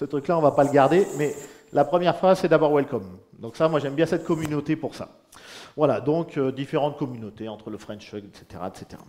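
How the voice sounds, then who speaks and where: A man talks at a fairly quick pace in a fairly high, dark and mellow voice, with lively intonation and big swings in loudness. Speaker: independent agile consultant. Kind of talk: conference talk.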